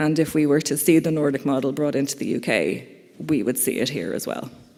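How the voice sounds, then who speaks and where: In an Irish accent, the speaker keeps a moderate pace. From Ireland. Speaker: conference speaker, campaigner. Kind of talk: conference talk. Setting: conference hall with audience.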